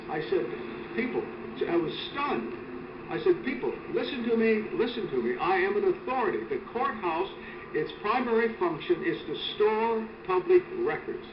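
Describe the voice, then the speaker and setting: An extremely high-pitched man with very wide pitch swings, a moderate pace and long, frequent pauses, amid audible room echo and noticeable background noise. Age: 70s. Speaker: retired prosecutor, activist. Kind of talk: street interview. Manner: halting, repetitive false starts.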